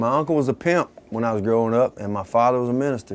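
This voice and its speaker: Speaking with a Mississippi accent, a man uses ordinary pitch variation. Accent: Southern US (Mississippi). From US South, Mississippi (Tupelo). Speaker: musician. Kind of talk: interview.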